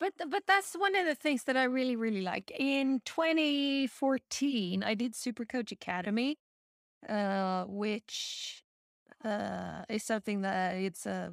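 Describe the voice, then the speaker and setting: This woman's fairly high voice carries a lively intonation. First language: not English. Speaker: podcast host. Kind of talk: casual chat. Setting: video call.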